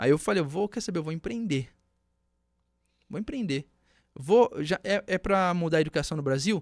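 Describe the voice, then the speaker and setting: A high-pitched man's voice with long, frequent pauses, dry and close with no echo, on a very clean recording with a silent background. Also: lively intonation, moderate pace. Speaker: entrepreneur, former bank tech worker. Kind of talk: podcast interview, personal story. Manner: animated storytelling.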